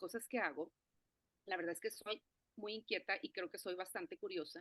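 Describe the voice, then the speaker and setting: A woman talks at a fairly quick pace with very wide pitch swings. The sound is dry and close, with no echo. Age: 50s. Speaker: forest therapy guide. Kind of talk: interview conversation. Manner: halting, many fillers and restarts.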